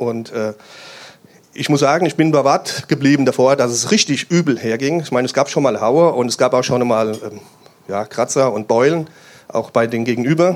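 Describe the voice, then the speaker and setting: Speaking at a moderate pace, a man uses a medium pitch with ordinary pitch variation. He takes long, frequent pauses. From Hesse, Germany (Main-Kinzig area near Hanau). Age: 50s. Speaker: police officer. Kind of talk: interview at a church event.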